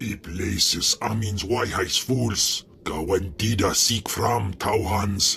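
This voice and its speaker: In a put-on character voice, a man talks very slowly at a fairly low pitch over clear background noise. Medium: video game.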